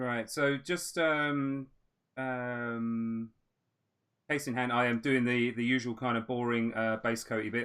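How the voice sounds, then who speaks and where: This man has an English accent and a medium pitch. His intonation stays fairly even at a fairly slow pace. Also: quiet background. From England, with early childhood in Australia. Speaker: miniature painter and stream host. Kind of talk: casual chat; live-stream painting tutorial with casual chat. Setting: live stream.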